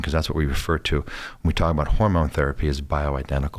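A man speaks at a very fast pace. His pitch is very deep and low. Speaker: medical doctor. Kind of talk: radio health talk show. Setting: radio studio.

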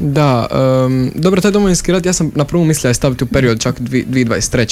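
A man talks fairly briskly, and noticeable noise can be heard behind him. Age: young (18). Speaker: theatre directing student, youth drama studio member. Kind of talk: radio interview.

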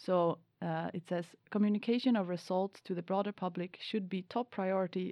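A woman with a Swedish accent, medium in pitch, fairly even in intonation, at a moderate pace. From Sweden. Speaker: PhD student and podcast host.

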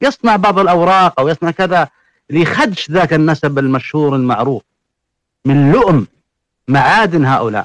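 A man at a moderate pace, lively in intonation, very even in loudness, with a dry, close sound and no echo. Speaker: genealogist and religious scholar. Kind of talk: panel discussion. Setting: online audio room.

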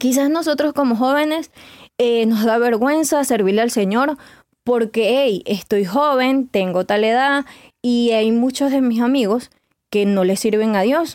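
Speaking at a fairly slow pace, a woman keeps her loudness very even, her high pitch showing ordinary variation. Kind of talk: devotional podcast talk.

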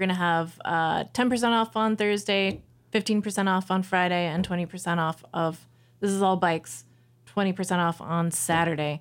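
A woman with an American accent talks at a moderate pace and medium pitch with ordinary pitch variation, in a very clean recording with a silent background. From Missouri, US Midwest. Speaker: bike shop worker. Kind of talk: casual chat. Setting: studio. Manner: halting.

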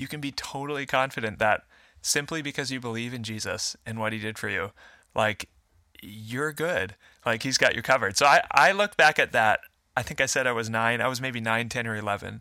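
Bright and sharp in tone, this fairly quick voice with an American accent comes through dry and close with no echo, on a very clean recording with a silent background. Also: man, medium pitch for a man, ordinary pitch variation. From US Midwest, Fargo, North Dakota. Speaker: worship pastor. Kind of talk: testimony.

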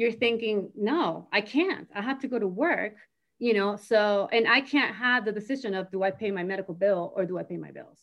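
In a normal speaking voice, a woman talks at a fairly high pitch. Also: ordinary pitch variation, fairly quick pace, big swings in loudness. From Miami, Florida (born in Argentina, moved as a child). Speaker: community center director. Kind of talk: casual interview conversation.

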